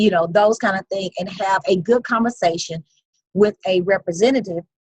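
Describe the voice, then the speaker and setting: A woman's somewhat breathy voice at medium pitch, fairly even in intonation, with a dry, close sound and no echo. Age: 50s. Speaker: investor sharing success story. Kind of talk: interview. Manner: conversational, repetitive.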